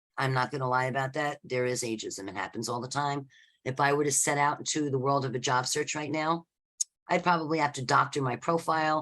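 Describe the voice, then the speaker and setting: A woman with an American accent talks at a very fast pace. Her pitch is very deep and low, with ordinary variation. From New York City (the Bronx). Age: 60s. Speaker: career coach. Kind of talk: workshop talk. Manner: animated.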